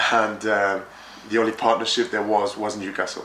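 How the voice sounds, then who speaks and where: Amid noticeable background noise and audible room echo, a man talks fairly quickly at a medium pitch with monotone, flat intonation. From France. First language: French. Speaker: project manager in construction. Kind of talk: interview. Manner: hesitant, many fillers.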